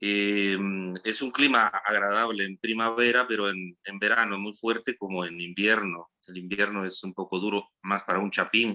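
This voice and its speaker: This man has a fairly low pitch and fairly even intonation. He speaks at a moderate pace. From Guatemala, Guatemala City. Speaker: theatre artist. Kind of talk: online panel discussion. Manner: halting.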